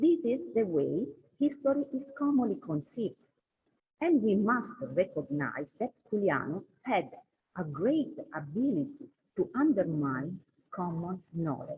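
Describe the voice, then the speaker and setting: A woman with a non-native accent speaks at a fairly slow pace, her voice making very wide pitch swings. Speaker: scholar. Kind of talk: conference talk read from paper. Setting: conference hall.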